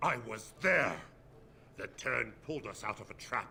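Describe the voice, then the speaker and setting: With music in the background, a man growls in a put-on character voice at a moderate pace, his loudness swinging widely. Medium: video game.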